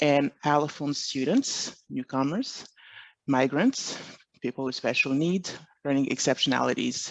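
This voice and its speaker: With a French accent, a man speaks at a fairly high pitch and a fairly slow pace, recorded dry and close with no echo over a quiet background. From Montreal, Quebec. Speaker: education consultant. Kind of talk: presentation.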